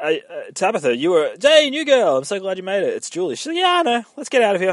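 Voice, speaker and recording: This man talks at a very fast pace, his loudness swinging widely. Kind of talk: casual recap of a show. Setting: in a parked car.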